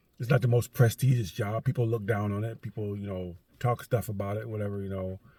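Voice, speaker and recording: Somewhat breathy and dark, mellow in tone, a man's voice sits at a medium pitch. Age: 60s. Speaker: vlogger and garbage truck loader. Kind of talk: casual vlog monologue. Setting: in a truck in driveway. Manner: rambling with many fillers.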